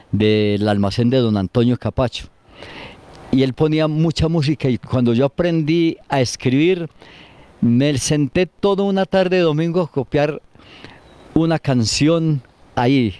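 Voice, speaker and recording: A man with an Antioquian accent, dark and mellow in tone, at a fairly slow pace with ordinary pitch variation, in a dry, close sound with no echo. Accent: Colombian paisa (Antioquia) Spanish. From Colombia, Antioquia (Granada). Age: 70s. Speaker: elderly local resident interviewed about town history. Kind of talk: interview, reminiscing.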